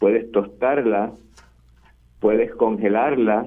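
Music in the background behind a man of medium pitch at a fairly slow pace. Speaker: agriculture expert. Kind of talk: interview. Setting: remote call. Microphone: echo on the line.

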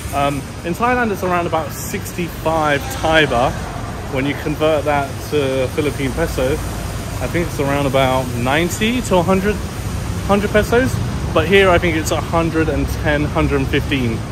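Noticeable background noise runs under a man speaking very slowly. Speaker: travel vlogger. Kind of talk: casual vlog chat. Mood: pleased, upbeat. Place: street. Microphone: phone near.

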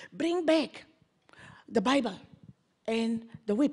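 A somewhat breathy woman speaks at a very slow pace. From Namibia. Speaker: activist and politician; politician. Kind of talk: panel discussion. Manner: impassioned. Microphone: handheld.

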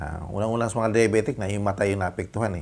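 A man speaks at a fairly low pitch. His pitch variation is ordinary. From Philippines. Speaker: vlogger. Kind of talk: product review vlog. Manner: halting, many fillers. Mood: friendly, smiling. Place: home room. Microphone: lapel.

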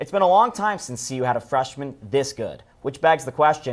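Talking at a fairly quick pace, a man lets his pitch swing very widely. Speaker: sports reporter and anchor. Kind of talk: sports broadcast package narration. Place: studio.

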